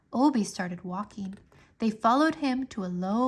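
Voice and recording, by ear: A natural voice reading aloud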